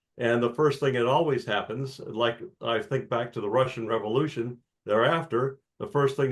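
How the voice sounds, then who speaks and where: At a moderate pace, a man talks in a somewhat breathy voice of medium pitch with ordinary pitch variation. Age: 70s. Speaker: audience member asking a question. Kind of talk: Q&A discussion.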